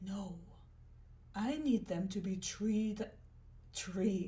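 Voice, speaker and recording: A woman speaks in a dramatic tone, her voice dark, mellow and somewhat breathy at a medium pitch. Audible echo from the room surrounds her. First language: not English. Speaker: artist and crafter. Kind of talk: scripted narration.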